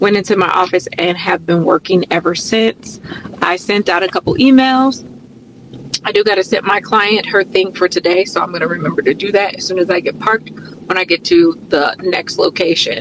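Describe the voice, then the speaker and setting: Noticeable background noise accompanies a woman who talks at a moderate pace. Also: medium pitch for a woman, ordinary pitch variation. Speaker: wellness coach and fitness instructor. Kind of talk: casual vlog narration. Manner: casual, relaxed.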